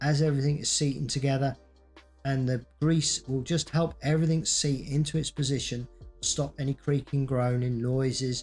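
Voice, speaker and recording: With music in the background, a man speaks at a moderate pace with fairly even intonation. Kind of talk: tutorial narration.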